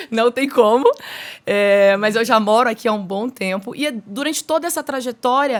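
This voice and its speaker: A woman speaks with a Minas Gerais accent at a moderate pace. Her pitch sits fairly high, with ordinary variation. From Minas Gerais, Brazil. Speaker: podcast host, mentor and speaker. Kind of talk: podcast interview.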